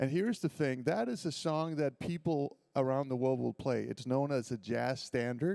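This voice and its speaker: In a slight Danish accent, a man speaks at a moderate pace and medium pitch, with an animated tone and ordinary pitch variation. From Denmark, Copenhagen. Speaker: violinist and composer. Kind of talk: school assembly talk between performances.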